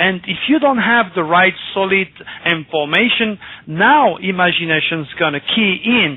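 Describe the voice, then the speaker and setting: A man speaks at a fairly slow pace with lively intonation and a high pitch for a man. Noticeable background noise sits behind him. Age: 60s. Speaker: astrologer. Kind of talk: radio interview. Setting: radio show.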